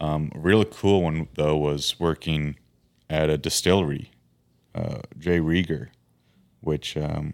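With an Upper Midwest accent, a man speaks at a very deep, low pitch, fairly slow and fairly even, leaving long, frequent pauses. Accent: Upper Midwest (Minnesota). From Minnesota, Fergus Falls. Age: 30s. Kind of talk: casual chat.

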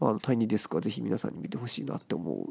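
The voice belongs to a man. It sounds dry and close, without any echo. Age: 20s. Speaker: podcast co-host. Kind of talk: casual chat.

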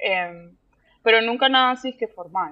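Woman at a moderate pace with ordinary pitch variation. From Panama. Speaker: visual artist. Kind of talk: interview. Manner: halting.

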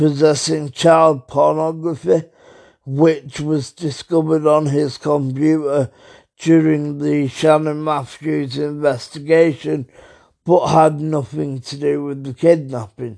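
Against a quiet background, a man with a British accent speaks very slowly in a fairly high pitch, with a dark, mellow tone and monotone, flat intonation. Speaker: true crime podcaster. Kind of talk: podcast narration.

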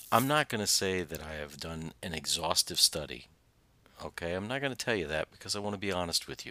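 With a very deep, low voice, a man speaks fairly quickly, his intonation lively and his loudness swinging widely. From Southern Indiana. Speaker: pastor and podcast host. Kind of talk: sermon-style podcast teaching with scripture reading. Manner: halting, many fillers; drops word endings.

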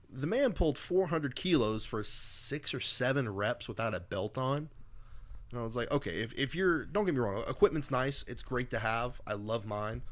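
Speaking with an ordinary speaking voice, a man keeps a medium pitch and lively intonation. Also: moderate pace. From US military family, moved around (Germany, Hawaii). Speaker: strongman athlete. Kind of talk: casual chat. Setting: at the guest's home.

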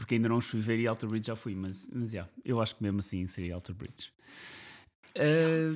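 A man speaks at a fairly quick pace with a fairly low pitch and ordinary pitch variation. It is an unremarkable speaking voice on a very clean recording with a silent background. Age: 30s. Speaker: podcast co-host. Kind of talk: casual chat.

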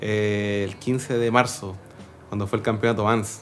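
A man at a moderate pace. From southern Chile, Linares. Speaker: podcast host and BMX rider. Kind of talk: casual interview chat. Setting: studio with cameras. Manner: halting, with frequent fillers and repetitions.

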